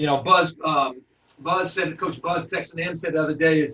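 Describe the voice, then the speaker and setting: This man's fairly high voice keeps a moderate pace. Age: 40s. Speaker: basketball coach and trainer. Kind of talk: webinar presentation. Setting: recorded webinar. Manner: animated.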